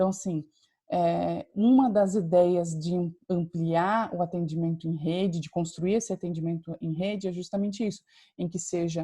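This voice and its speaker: A woman speaks at a moderate pace in a fairly low pitch with fairly even intonation. Her tone is dark, mellow and somewhat breathy. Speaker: university lecturer. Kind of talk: lecture. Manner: hesitant, many fillers.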